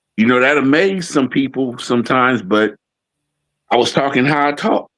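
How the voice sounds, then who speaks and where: In a normal speaking voice, a man with an American accent talks at a medium pitch and a fairly quick pace. His pitch variation is ordinary and his loudness very even. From Oakland and Fremont, California, US. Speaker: podcast co-host. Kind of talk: casual conversation.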